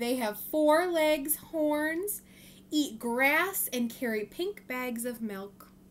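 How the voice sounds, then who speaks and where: In a put-on character voice, a woman speaks high in pitch, raised and projected. She goes at a very slow pace. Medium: read story. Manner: proud, animated.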